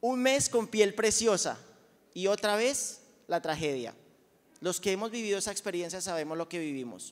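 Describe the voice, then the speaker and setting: A man with a high pitch talks at a moderate pace in an animated tone with lively intonation. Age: 40s. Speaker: product testimonial speaker at sales event; speaker. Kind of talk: testimony. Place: hall. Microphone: handheld.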